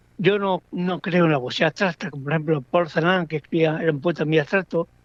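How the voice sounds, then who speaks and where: A man's high-pitched voice with fairly even intonation and a dry, close sound with no echo. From Andalusia, Spain (Andújar, Jaén). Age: 70s. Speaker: poet. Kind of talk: interview. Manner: halting, with repetitions and fillers.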